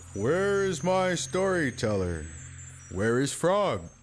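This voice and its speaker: Using a cartoonish character voice, a man talks at a very slow pace, his fairly high pitch swinging very widely. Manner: unhurried, warmly authoritative.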